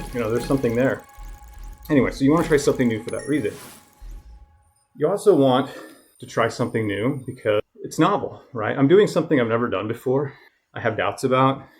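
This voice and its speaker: A man's medium-pitched voice at a very fast pace, with ordinary pitch variation, long and frequent pauses, and music in the background. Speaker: educator and talent development presenter. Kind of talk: casual vlog monologue while cycling.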